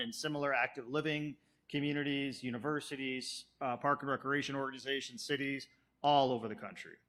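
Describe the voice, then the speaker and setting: A man with a Chicago accent, fairly high in pitch and bright and sharp in tone, at a fairly quick pace in a very clean recording with a silent background. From US Midwest, South Chicago. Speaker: planning consultant. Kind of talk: public presentation. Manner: fast; animated.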